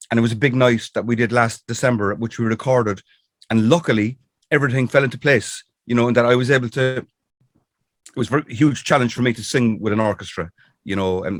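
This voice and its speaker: A man with a Cork accent and medium pitch talks at a very fast pace in a dry, close sound with no echo. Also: ordinary pitch variation. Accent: Irish (Cork). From Ireland. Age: 60s. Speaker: singer-songwriter. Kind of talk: interview. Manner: halting, many fillers.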